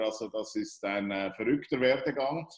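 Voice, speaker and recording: A man at a fairly slow pace, audible room echo over a quiet background. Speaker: interviewer. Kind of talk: interview question. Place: home room. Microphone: video call.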